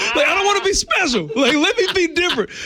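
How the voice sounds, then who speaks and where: A man talks at a very fast pace in an animated tone. There is noticeable background noise. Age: 40s. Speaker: comedian. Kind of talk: radio interview. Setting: radio studio.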